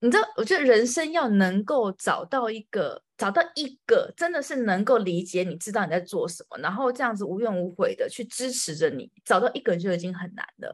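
Against a quiet background, a woman with a fairly high voice speaks at a fairly quick pace with hardly any pauses, very wide pitch swings and big swings in loudness. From Taiwan. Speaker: podcast host. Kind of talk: casual interview chat.

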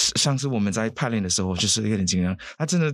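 Very fast and lively in intonation, a man speaks. The recording is very clean, with a silent background. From Saint Lucia. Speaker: singer. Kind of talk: interview. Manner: halting.

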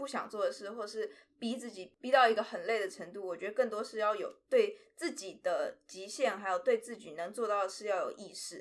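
A woman speaks at a fairly quick pace with a fairly high pitch and ordinary pitch variation. Her loudness swings widely. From Taiwan, with four years in Shanghai. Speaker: drama student. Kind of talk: interview. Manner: halting, stumbles for words.

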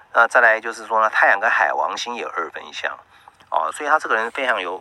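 A man talks in a plain, everyday voice at medium pitch and a fairly quick pace. His pitch variation is ordinary, with big swings in loudness. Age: 50s. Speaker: radio host and astrologer. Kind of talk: radio monologue. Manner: filler-heavy, frequent 啊 and 哦.

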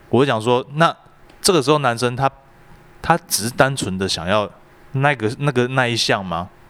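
A man at a medium pitch and a moderate pace, with lively intonation and long, frequent pauses. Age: 30s. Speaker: podcast co-host. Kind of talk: casual chat.

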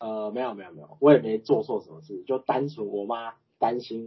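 A man speaks in a normal speaking voice at a medium pitch and a fairly quick pace, with ordinary pitch variation. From Taiwan, Chiayi. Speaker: guest, manager. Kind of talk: casual chat.

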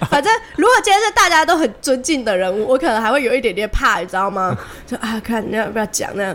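A very fast delivery in a Taiwanese accent with lively intonation, amid noticeable background noise. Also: woman, fairly high pitch for a woman. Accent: Taiwanese Mandarin. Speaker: podcast co-host. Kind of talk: casual chat.

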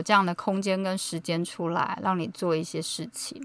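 A woman speaks at a medium pitch and a moderate pace in an unremarkable speaking voice. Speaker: podcast host. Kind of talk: casual chat.

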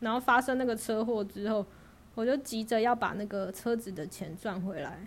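A woman talks at a moderate pace. Her pitch is fairly high, with ordinary variation. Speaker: guest sharing working holiday stories. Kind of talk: casual chat. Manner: calm and even.

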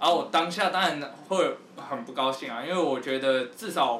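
Through noticeable background noise and audible room echo, a man talks with a fairly high pitch and ordinary pitch variation. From Taiwan, Taipei. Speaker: rapper. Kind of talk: casual chat.

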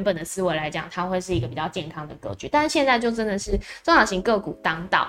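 Speaking fairly quickly, a woman has a Taiwanese accent. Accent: Taiwanese Mandarin. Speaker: stock market livestream host. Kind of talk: morning market commentary livestream. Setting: live stream on video platforms.

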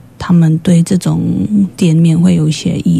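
A woman at a moderate pace with a Polish accent, over noticeable background noise. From Poland. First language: Polish (speaking Chinese). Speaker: shop owner. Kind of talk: radio interview. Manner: halting.

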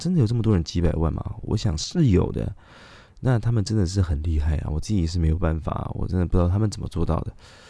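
With a very deep, low pitch and a dark, mellow tone, a man talks at a fairly quick pace with ordinary pitch variation. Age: 30s. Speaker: podcast host. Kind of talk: casual monologue. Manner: halting, many fillers.

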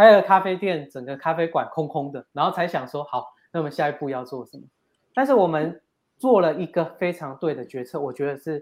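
A man with an unremarkable speaking voice, at a moderate pace with ordinary pitch variation. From Taiwan, Yunlin (Gukeng). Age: 30s. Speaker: entrepreneur, company head. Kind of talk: interview.

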